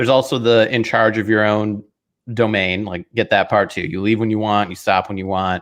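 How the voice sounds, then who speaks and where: A man with an American accent has a plain, everyday voice, fairly low in pitch, speaking at a fairly quick pace with fairly even intonation against a quiet background. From northern US. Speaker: football podcast co-host. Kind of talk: casual chat.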